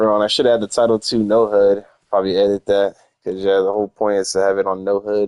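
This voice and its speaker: Talking at a very fast pace, a man with a fairly low pitch keeps a monotone, flat intonation in a dry, close sound with no echo. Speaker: gaming streamer. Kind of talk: live gameplay commentary. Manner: casual, rambling.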